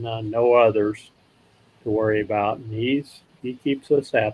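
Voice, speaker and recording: A man with an unremarkable speaking voice talks at a moderate pace with fairly even intonation. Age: 60s. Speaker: RV travel vlogger. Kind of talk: casual chat. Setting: live stream.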